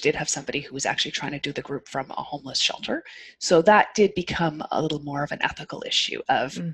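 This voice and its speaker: The delivery is very fast, with lively intonation. Loudness swings widely throughout. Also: woman. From Canada. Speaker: occupational therapist. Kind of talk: casual interview chat. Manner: calm, soothing.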